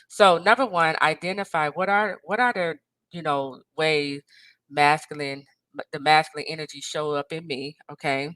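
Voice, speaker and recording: A woman with a very deep, low pitch and a bright, sharp tone speaks at a moderate pace with ordinary pitch variation and big swings in loudness, in a very clean recording with a silent background and a dry, close sound with no echo. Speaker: life and marriage coach. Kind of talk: motivational talk to camera. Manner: animated.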